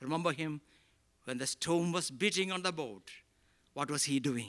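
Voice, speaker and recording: A man talks with a Keralan accent. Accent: Indian English (Malayali). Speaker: pastor. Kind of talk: sermon. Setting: church. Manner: preaching with rhetorical repeated questions, impassioned, building emphasis.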